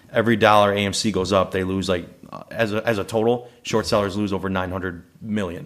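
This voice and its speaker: Very fast delivery with fairly even intonation. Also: man, fairly low pitch for a man. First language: Italian. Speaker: day trader. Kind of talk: casual interview chat.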